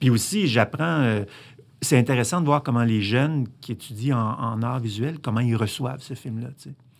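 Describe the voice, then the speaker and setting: In an ordinary speaking voice, a man at medium pitch talks at a moderate pace with ordinary pitch variation and big swings in loudness, on a very clean recording with a silent background. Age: 60s. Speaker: filmmaker. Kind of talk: interview.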